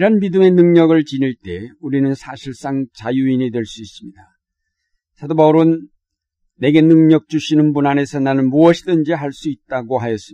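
With a dark, mellow tone and fairly high pitch, a man talks at a moderate pace, using ordinary pitch variation and big swings in loudness. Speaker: pastor. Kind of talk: sermon. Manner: formal.

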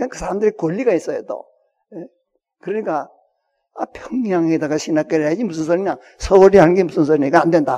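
At a very fast pace, a man with a high pitch and ordinary pitch variation speaks with big swings in loudness and long, frequent pauses. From Hwanghae Province, North Korea. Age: 80s+. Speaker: retired pastor and Bible scholar. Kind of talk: public talk to an audience. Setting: auditorium with audience. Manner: halting, with many fillers.

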